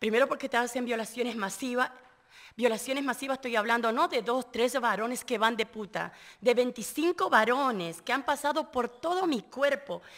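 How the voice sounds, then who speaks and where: A woman with an Argentine accent speaks at a moderate pace in a high pitch. Her pitch varies in an ordinary way against a quiet background. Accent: Argentine Spanish (voseo). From Argentina. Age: 50s. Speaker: trafficking survivor and activist; interview guest. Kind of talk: interview testimony; interview answer. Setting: live radio at a conference venue. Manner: halting, with repetitions. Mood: earnest, indignant. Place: studio. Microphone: studio mic.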